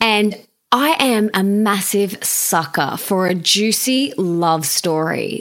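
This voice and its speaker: In an Australian accent, a woman speaks at a very slow pace with a fairly high pitch. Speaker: podcast host. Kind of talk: interview. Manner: enthusiastic.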